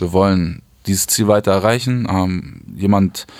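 A man talks in a plain, everyday voice, fairly low in pitch. His intonation stays fairly even. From southern Hamburg, Germany. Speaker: music manager. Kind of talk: interview. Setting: studio.

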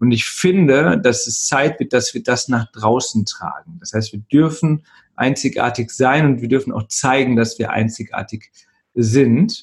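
At a moderate pace, a man talks at a medium pitch in a somewhat breathy voice with ordinary pitch variation. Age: 30s. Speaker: email marketing consultant. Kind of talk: interview. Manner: hesitant, many filler sounds.

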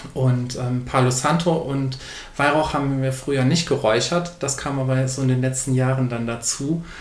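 A man's medium-pitched voice with fairly even intonation at a moderate pace, amid noticeable background noise and audible room echo. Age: 20s. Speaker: author and bookseller. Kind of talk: interview.

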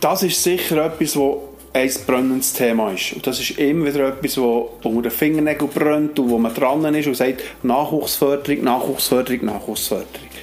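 A fairly high-pitched man speaks at a moderate pace with hardly any pauses and ordinary pitch variation, with noticeable background noise and audible room echo. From Switzerland, canton of Bern (Alchenflüh). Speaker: sports association manager and player. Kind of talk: casual interview.

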